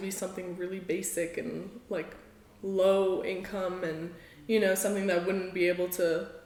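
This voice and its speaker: A woman of medium pitch speaks at a moderate pace with monotone, flat intonation, amid audible room echo and noticeable background noise. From South Africa. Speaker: art student. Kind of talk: interview. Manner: casual with many fillers.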